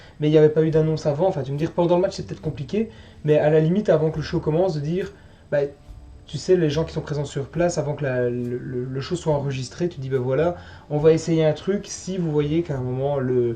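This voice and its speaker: This man talks at a fairly quick pace in a fairly high pitch, his dark, mellow tone somewhat breathy and his pitch variation ordinary. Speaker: wrestling show reviewer. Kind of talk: casual podcast chat.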